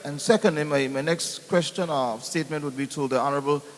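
With an Anguillan accent, a man talks at a moderate pace in a fairly high voice with ordinary pitch variation, over noticeable background noise. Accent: Anguillan Caribbean English. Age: 60s. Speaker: audience member asking questions. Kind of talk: town hall question. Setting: town hall meeting.

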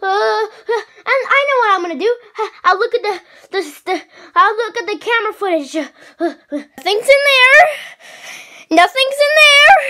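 A man's cartoonish character voice, extremely high in pitch, at a moderate pace with long, frequent pauses. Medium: puppet.

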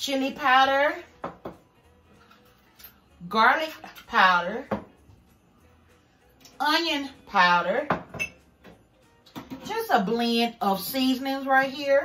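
A woman's raised, projected voice at a very slow pace, with long, frequent pauses and faint music in the background. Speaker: home cook vlogger. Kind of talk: casual vlog chat, cooking tutorial. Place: kitchen. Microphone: phone near.

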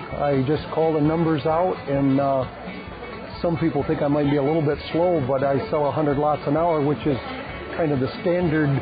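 Clear music plays behind a man whose fairly high voice has ordinary pitch variation and a dry sound with no echo. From Michigan, USA. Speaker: auctioneer. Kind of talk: casual talk to camera, interview answer. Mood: relaxed, friendly. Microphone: lapel.

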